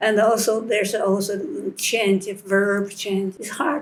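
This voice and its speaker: A woman with a Chinese accent talks at a fairly slow pace amid noticeable background noise. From China. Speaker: interviewee. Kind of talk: interview. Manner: halting.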